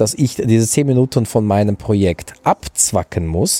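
In a very clean recording with a silent background and a dry, close sound with no echo, a man with a fairly low pitch and a dark, mellow tone speaks at a moderate pace with lively intonation. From southwestern Germany, Freiburg im Breisgau. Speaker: teacher. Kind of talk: casual chat.

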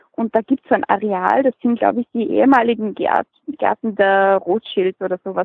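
This woman has an ordinary speaking voice with a fairly high pitch. She talks at a moderate pace with ordinary pitch variation. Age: 20s. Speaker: hobby beekeeper and blogger. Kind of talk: interview.

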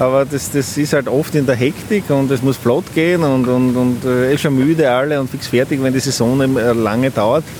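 Over noticeable background noise, a man speaks at a moderate pace with hardly any pauses, fairly even intonation, and very even loudness. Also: medium pitch for a man. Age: 40s. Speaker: commercial beekeeper. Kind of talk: interview. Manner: halting, many repetitions.

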